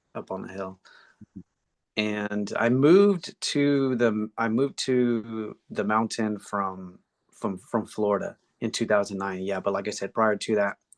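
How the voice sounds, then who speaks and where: Using an ordinary speaking voice, a man with an American accent talks at a fairly slow pace and fairly low pitch with fairly even intonation, in a dry, close sound with no echo. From Texas, San Antonio. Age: 60s. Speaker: tai chi and qigong teacher. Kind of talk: interview.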